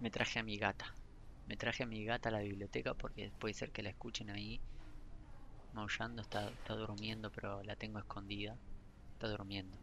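A man talks fairly quickly at a fairly low pitch, his tone bright and sharp with vocal fry. His intonation is monotone and flat, broken by long, frequent pauses. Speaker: podcaster and gaming news creator. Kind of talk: casual solo chat. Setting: library, then a bar. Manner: halting, self-correcting. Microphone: poor recording setup, problems with audio.

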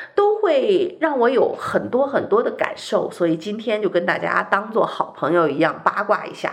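Speech flows with hardly any pauses. Noticeable background noise runs underneath. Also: moderate pace. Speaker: radio host. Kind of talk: radio talk show monologue. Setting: radio studio.

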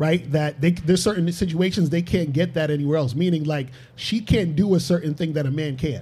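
With a New York accent, a man talks at a fairly quick pace in a fairly high pitch, his tone dark and mellow and his pitch varying in an ordinary way. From Brooklyn, New York. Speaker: relationship coach. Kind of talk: panel discussion. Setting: studio.

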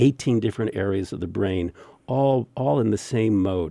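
Lively in intonation, a man with a fairly low pitch and a dark, mellow tone talks at a moderate pace in a dry, close sound with no echo. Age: 60s. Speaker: meditation teacher. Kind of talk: interview.

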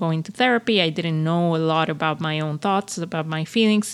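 The recording is very clean, with a silent background. The speaker uses ordinary pitch variation and a Spanish accent. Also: woman. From Venezuela. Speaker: career coach podcast host. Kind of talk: personal monologue podcast. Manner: unscripted, with many fillers and repetitions.

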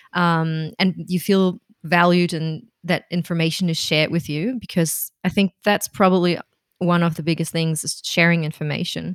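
A woman at a fairly low pitch, moderate pace, and fairly even intonation, on a very clean recording with a silent background. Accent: German. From Germany, Berlin. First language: German. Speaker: freelance copywriter and translator. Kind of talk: casual interview.

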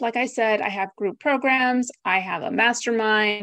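In an American accent, a woman talks at a fairly slow pace in an ordinary speaking voice, fairly high in pitch with ordinary pitch variation. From US / Greece (Greek American). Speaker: virtual assistant business founder. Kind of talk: interview conversation. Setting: video call.

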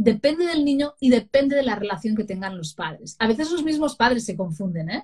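A woman talks at a fairly quick pace with hardly any pauses, her voice somewhat breathy. Her pitch is fairly high and swings very widely. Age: 40s. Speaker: parenting consultant and writer. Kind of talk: interview.

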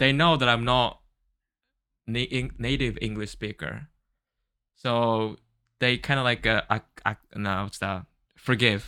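A man with a Japanese accent speaks at a fairly slow pace, leaving long, frequent pauses. His medium-pitched voice has a bright, sharp tone and ordinary pitch variation, caught in a very clean recording with a silent background. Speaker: podcast co-host. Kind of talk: casual chat.

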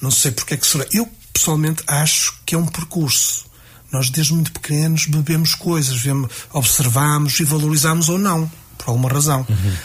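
Pitched fairly high, a man speaks at a moderate pace with ordinary pitch variation. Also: very even loudness. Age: 40s. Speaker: music teacher and association president. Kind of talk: radio interview. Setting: radio studio. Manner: halting.

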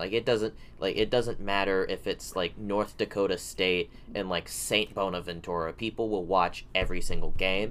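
A man speaks at a moderate pace in a fairly low pitch. He has a normal speaking voice. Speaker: college radio sports commentator. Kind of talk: casual sports chat.

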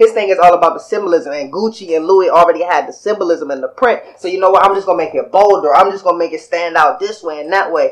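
A high-pitched man at a very fast pace, fairly even in intonation, with noticeable background noise. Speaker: podcast co-host. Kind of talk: casual chat.

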